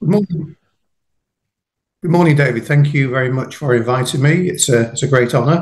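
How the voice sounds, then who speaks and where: The man's voice is somewhat breathy, at a fairly quick pace. He leaves long, frequent pauses. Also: fairly high pitch for a man, ordinary pitch variation. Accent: British. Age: 60s. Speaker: farmer and jiu-jitsu practitioner. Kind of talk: casual interview chat. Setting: podcast interview.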